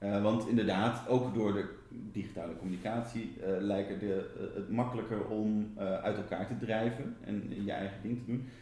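A man speaks at a moderate pace with a fairly low pitch and fairly even intonation. Room echo is audible. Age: 40s. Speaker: interviewer. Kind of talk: interview. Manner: halting.

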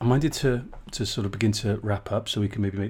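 With a South Wales accent, a man speaks very fast at a fairly low pitch, his voice somewhat breathy, on a very clean recording with a silent background. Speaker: podcast host. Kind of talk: interview.

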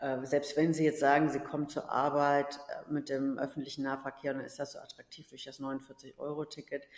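A woman's very deep, low voice, monotone and flat, with big swings in loudness. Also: moderate pace. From rural Germany. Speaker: politician. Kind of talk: interview.

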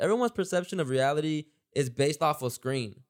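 On a very clean recording with a silent background, a man speaks in an energetic tone with lively intonation. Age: 20s. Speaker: podcast host. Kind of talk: casual podcast hosting. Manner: fast talker, energetic.

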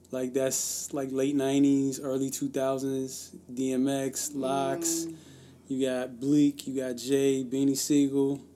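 Over music in the background, a man speaks at a very slow pace with a medium pitch and monotone, flat intonation. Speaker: podcast co-host. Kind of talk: casual chat.

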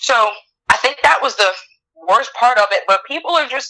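In a Southern Louisiana accent, a woman with a fairly high pitch speaks at a moderate pace. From Louisiana, LaPlace. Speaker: grocery store worker. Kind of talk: casual chat.

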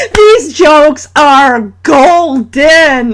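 A woman with a high voice speaks with lively intonation over noticeable background noise. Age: 30s. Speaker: solo podcast host recapping TV episodes. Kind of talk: casual solo episode recap. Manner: animated.

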